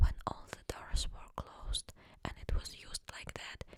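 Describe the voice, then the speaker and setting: Whispering over noticeable background noise. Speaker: ASMR storyteller. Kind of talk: paranormal story narration, personal childhood anecdotes. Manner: whispered, soft-spoken.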